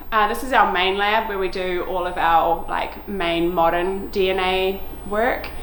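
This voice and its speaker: A woman with a New Zealand accent talks fairly slowly in a medium pitch with fairly even intonation. There is noticeable background noise and audible room echo. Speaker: lab manager, marine genetics researcher. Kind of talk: guided lab tour. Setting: indoors, research lab. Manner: casual, with fillers.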